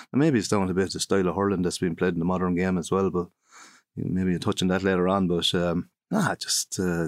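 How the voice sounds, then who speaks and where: A man with a Kilkenny Irish accent and a very deep, low pitch, very fast and fairly even in intonation, in a dry, close, very clean recording with no echo and a silent background. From Ireland, County Kilkenny. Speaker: former hurler and coach. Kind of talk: casual interview chat. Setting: studio.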